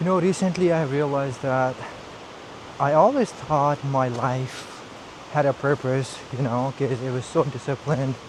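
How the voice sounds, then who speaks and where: Noticeable background noise is present. Over it, a man talks at a fairly high pitch. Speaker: vlogger. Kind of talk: casual vlog monologue. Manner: slow.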